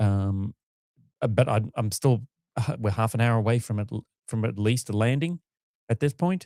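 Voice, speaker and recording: In an Australian accent, a man with a medium pitch and a dark, mellow tone talks at a moderate pace, with ordinary pitch variation and long, frequent pauses. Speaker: launch livestream co-host. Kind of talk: live commentary.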